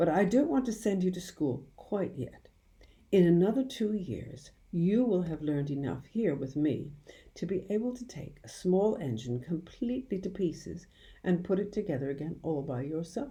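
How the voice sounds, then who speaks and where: A woman's fairly low, dark and mellow voice sounds somewhat breathy as her pitch swings very widely. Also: moderate pace. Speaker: audiobook reader. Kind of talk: children's audiobook narration. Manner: warm, expressive storytelling.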